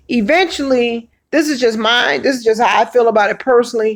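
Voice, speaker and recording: Animated and high-pitched, a woman with an American accent speaks at a moderate pace with lively intonation. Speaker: livestream host. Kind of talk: casual livestream chat. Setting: livestream.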